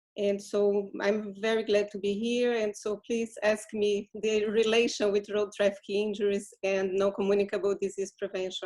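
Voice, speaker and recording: Speaking in a Portuguese accent, a woman keeps a medium pitch and a monotone, flat intonation. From Brazil. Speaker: physician, public health advisor. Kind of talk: panel introduction. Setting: video call.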